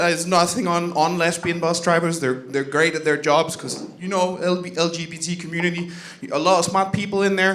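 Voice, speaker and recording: Amid noticeable background noise and audible room echo, a man talks fairly quickly in a high voice. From Denmark, Jutland. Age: 30s. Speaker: comedian. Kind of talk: stand-up. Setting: comedy club stage with audience.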